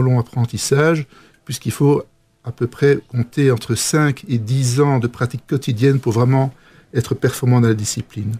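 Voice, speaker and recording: Somewhat breathy and fairly even in intonation, the voice moves at a fairly slow pace in a dry, close sound with no echo. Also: man. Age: 50s. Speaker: physician. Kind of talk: interview. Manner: halting.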